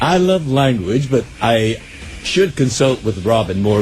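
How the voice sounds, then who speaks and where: A man with very wide pitch swings, against noticeable background noise. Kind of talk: mannered, carefully enunciated. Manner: affected, precise.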